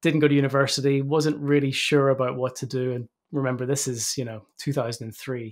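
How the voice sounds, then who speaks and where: A man speaks at a medium pitch and a fairly quick pace. His intonation is monotone and flat, with hardly any pauses. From Northern Ireland. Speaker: cyber threat intelligence specialist, former military intelligence. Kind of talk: interview.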